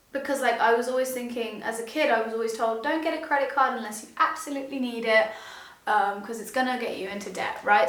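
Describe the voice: A woman's fairly high pitch and fairly bright tone, ringing with strong room echo.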